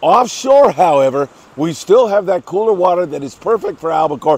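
Recorded dry with no echo, a man talks at a moderate pace. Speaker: fishing report host. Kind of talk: news briefing commentary. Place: beach. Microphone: lapel.

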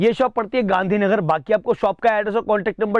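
At a moderate pace, a man talks in a high pitch. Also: quiet background, dry sound with no echo. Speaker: vlogger presenting a wholesale shop. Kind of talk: casual vlog promo. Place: shop. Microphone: camera far.

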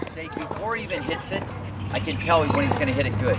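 Through loud background noise, a man speaks at a very fast pace. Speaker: tennis coach. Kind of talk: coaching instructions. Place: stadium. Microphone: camera far.

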